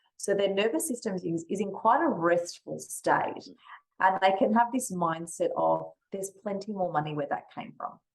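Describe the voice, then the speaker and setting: A woman speaks with an Australian accent at a medium pitch. Her pace is moderate, and her pitch varies in an ordinary way. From Western Australia. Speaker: money mindset coach. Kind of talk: podcast interview.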